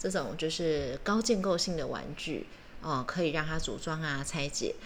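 A woman's fairly low-pitched voice with lively intonation at a moderate pace, in audible room echo. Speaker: podcast co-host. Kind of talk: casual chat.

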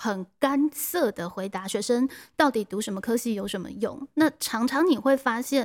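Recorded very cleanly against a silent background, with a dry, close sound and no echo, a woman with a plain, everyday voice speaks at a moderate pace, her pitch fairly high and her intonation lively. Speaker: teacher and podcast host. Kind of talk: interview; scripted narration. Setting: classroom.

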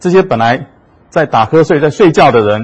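A man talks in a somewhat breathy voice. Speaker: physician, hospital vice superintendent. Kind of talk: lecture. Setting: talk with live audience and livestream. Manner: many hesitation fillers.

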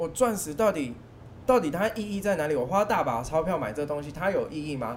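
Over noticeable background noise, the speech runs at a fairly quick pace with very wide pitch swings. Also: man, fairly high pitch for a man. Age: 20s. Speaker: diamond dealer. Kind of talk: casual chat. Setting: mahjong room venue.

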